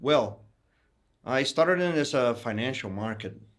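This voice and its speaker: Speech in a Portuguese accent at a fairly slow pace. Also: man. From Brazil, São Paulo. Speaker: investment firm founder. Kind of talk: interview.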